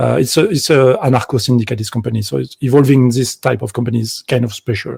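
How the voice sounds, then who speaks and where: A man with a French accent speaks at a fairly quick pace in a medium pitch, his tone dark and mellow and his intonation fairly even. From France. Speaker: game developer. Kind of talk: conference talk. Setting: video call from home. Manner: halting.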